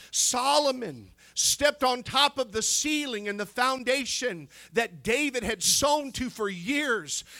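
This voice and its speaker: Raised, projected male voice, bright and sharp, at an extremely high pitch, with ordinary pitch variation and a fairly slow pace. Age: 50s. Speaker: preacher. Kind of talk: sermon. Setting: church. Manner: animated.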